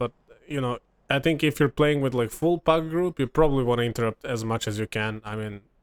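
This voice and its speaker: With a Serbian accent, a man talks at a fairly quick pace using fairly even intonation. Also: dry, close sound with no echo. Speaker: gaming content creator. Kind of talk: gameplay commentary. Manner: casual, filler-heavy.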